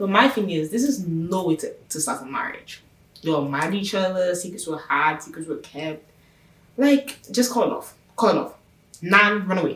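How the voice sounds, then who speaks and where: A woman speaks in an animated tone with lively intonation. There is noticeable background noise. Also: medium pitch for a woman. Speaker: YouTuber reviewing a TV show. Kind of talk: casual TV recap vlog. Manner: fast.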